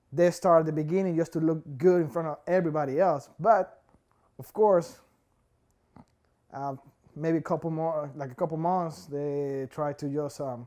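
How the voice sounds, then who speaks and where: With a Spanish accent, a man speaks at a moderate pace in a fairly high pitch and a dark, mellow tone, his intonation fairly even, with long, frequent pauses against a quiet background. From Ecuador. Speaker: immigrant worker. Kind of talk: interview testimony. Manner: halting, many fillers.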